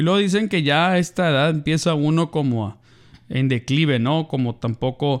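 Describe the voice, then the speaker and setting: The delivery is fairly slow and animated in tone. The recording is very clean with a silent background. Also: man. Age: 30s. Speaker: podcast co-host. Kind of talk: casual chat.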